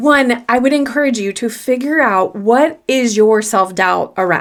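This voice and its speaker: A woman with an American accent talks at a fairly slow pace, her fairly high pitch moving with ordinary variation. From US South. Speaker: confidence coach. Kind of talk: solo podcast talk.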